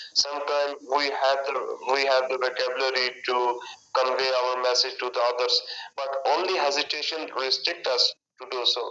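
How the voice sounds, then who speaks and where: A man speaks in a monotone, flat intonation with music in the background. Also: medium pitch for a man, moderate pace. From Pakistan. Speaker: English conversation partner. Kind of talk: casual chat. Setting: video call.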